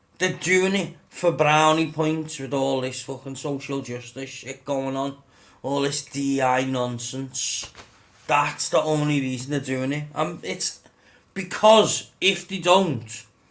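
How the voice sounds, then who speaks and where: With noticeable background noise around him, a man speaks very slowly at a fairly high pitch, with ordinary pitch variation. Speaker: gaming YouTuber. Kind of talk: casual rant to camera. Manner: halting, stumbling over words.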